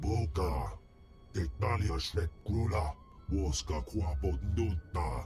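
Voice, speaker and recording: Over clear background music, a man puts on a growling character voice, pitched very deep and low, moving at a fairly slow pace. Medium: video game. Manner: speaks only in alien language.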